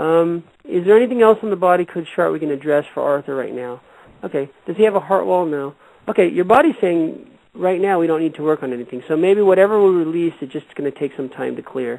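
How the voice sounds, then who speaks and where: A man with an American accent, high pitch, lively intonation and a very fast pace. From California. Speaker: radio host and energy healer. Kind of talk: call-in healing show.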